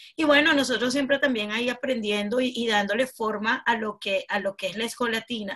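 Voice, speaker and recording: At a moderate pace, a woman with a fairly high pitch talks in an unremarkable speaking voice. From Venezuela. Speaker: branding specialist and entrepreneur. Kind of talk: interview.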